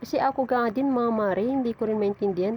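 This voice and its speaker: A woman rattles along at a very fast pace in a fairly high pitch with ordinary pitch variation. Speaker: vlogger. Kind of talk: casual vlog narration.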